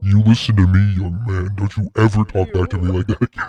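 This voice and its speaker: In a put-on character voice, a man talks at a fairly quick pace with a fairly low pitch. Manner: stern, scolding.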